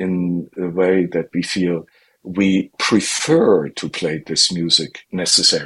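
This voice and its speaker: Speaking very slowly with a German accent, a man has a very deep, low pitch. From northern Germany. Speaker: classical violinist. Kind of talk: interview.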